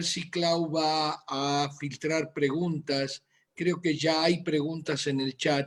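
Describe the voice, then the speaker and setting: The man has a high pitch. His pace is very slow. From Argentina, Buenos Aires. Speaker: physician. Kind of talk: medical presentation.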